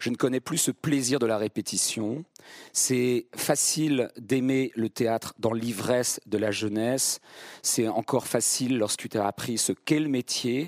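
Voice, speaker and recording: A man speaks in a normal speaking voice at medium pitch and a fairly slow pace. The sound is dry and close, with no echo. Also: fairly even intonation. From central France (Vierzon). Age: 50s. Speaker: stage actor. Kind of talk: public masterclass conversation. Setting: theatre stage with live audience.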